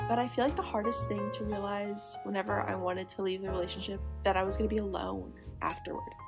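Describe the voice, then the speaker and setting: Clear music plays in the background. A woman with an American accent speaks at a very fast pace. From Missouri. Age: young. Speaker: vlogger. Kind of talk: casual talk to camera. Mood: reflective, soft, personal. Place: home room. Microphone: phone near.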